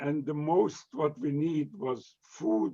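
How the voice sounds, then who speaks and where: A man talks with a fairly high pitch and a dark, mellow tone. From Romania. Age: 90s. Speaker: Holocaust survivor. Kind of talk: testimony. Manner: halting.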